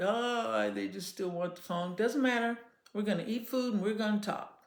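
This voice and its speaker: A woman's medium-pitched voice at a fairly quick pace, with lively intonation and audible room echo. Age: 60s. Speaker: children's entertainer and parenting talk host. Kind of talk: casual advice monologue. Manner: calm conversational tone.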